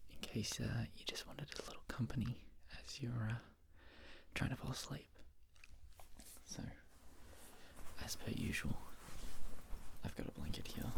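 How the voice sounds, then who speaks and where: A man whispers at a moderate pace, leaving long, frequent pauses. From Australia. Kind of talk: ASMR whisper ramble, casual talk to camera. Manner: soft-spoken, friendly, slightly hesitant.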